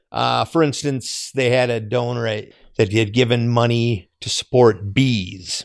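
Over a quiet background, a man with a medium pitch speaks at a fairly slow pace with fairly even intonation. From Minnesota, Twin Cities area. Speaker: fair volunteer and foundation worker. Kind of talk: casual chat. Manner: halting.

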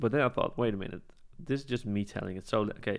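Ordinary pitch variation in a medium-pitched male voice. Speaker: filmmaker. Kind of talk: casual interview chat. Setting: at his home. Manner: fast talker.

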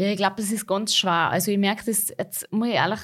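A woman speaks at medium pitch in a Salzburg Austrian accent. The recording is very clean, with a silent background. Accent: rural Salzburg Austrian dialect. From Austria, Salzburg region, rural farm. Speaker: pop-schlager singer. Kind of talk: interview.

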